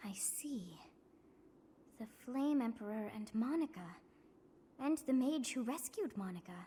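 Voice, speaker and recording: A put-on character voice, female-sounding and high in pitch, with long, frequent pauses. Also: moderate pace. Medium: video game. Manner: playful, imperious.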